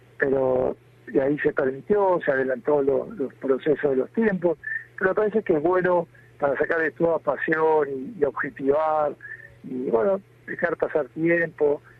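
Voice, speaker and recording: The speaker talks at a fairly slow pace with ordinary pitch variation. Noticeable background noise runs underneath. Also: man, fairly high pitch for a man. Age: 60s. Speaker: bishop. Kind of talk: interview.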